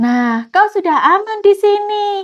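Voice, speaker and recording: In a put-on character voice, a woman speaks fairly slowly with an extremely high, squeaky pitch. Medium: read story.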